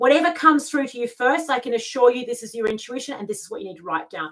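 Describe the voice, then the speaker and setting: Speaking with an Australian accent, a woman uses a high pitch and lively intonation. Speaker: lifestyle mentor and tarot reader. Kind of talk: live video talk. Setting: live video stream.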